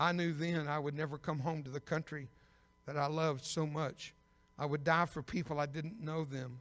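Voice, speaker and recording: In a very clean recording with a silent background, a man talks at a moderate pace and a fairly high pitch. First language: Spanish. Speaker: evangelist and war veteran. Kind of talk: sermon. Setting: church stage with audience. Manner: animated.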